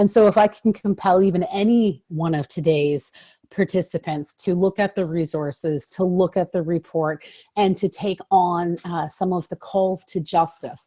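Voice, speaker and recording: A woman with an unremarkable speaking voice talks at a moderate pace in a fairly low pitch with ordinary pitch variation. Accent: Canadian. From Ontario, Canada. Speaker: lawyer and advocate. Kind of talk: webinar presentation.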